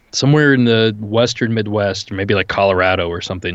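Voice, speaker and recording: A man's fairly low-pitched voice, a normal speaking voice with ordinary pitch variation. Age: 30s. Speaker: paranormal podcast host. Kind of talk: casual chat.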